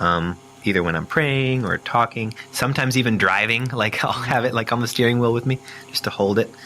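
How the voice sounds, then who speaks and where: Noticeable background noise runs under a man speaking at a fairly quick pace. His pitch is medium, with ordinary pitch variation. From Austria. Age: 30s. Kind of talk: interview answer. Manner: reflective, conversational.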